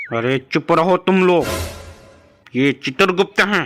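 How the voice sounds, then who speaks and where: A man in a cartoonish character voice speaks at a high pitch and a fairly slow pace, with music in the background. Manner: gruff, commanding.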